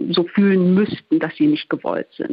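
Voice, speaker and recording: Female speech at a moderate pace, medium in pitch, with lively intonation and a plain, everyday voice. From Ruhr area, Germany (Duisburg). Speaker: journalist. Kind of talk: radio interview.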